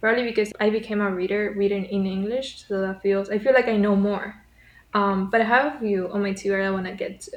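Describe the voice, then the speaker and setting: A woman talks at a very fast pace. Her intonation is monotone and flat. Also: medium pitch for a woman. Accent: Spanish. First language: Spanish. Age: 20s. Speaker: writer and book vlogger. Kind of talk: casual vlog chat.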